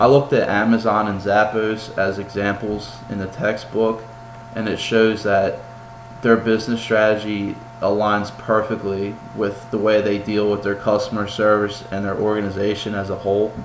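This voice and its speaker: There is audible room echo and noticeable background noise as a man talks at a fairly low pitch. His delivery is monotone and flat, at a moderate pace. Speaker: college student. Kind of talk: class presentation. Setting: home kitchen. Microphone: poor laptop mic, shaky and vibrating.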